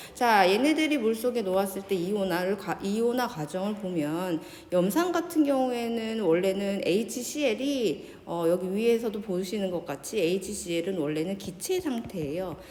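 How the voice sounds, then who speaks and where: A woman talks with hardly any pauses, with audible room echo and noticeable background noise. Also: medium pitch for a woman, lively intonation. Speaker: high school science teacher. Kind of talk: lecture. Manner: slow.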